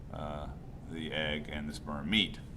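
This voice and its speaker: A man's very deep, low voice, fairly slow, amid audible room echo and noticeable background noise. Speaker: high school psychology teacher. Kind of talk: lecture. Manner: halting, many fillers.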